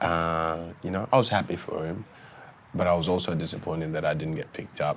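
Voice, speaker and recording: A man with an Australian accent, very deep and low in pitch, at a fairly quick pace with fairly even intonation. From Sudan-born, raised in Victoria, Australia. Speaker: former footballer. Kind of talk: casual interview. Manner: halting.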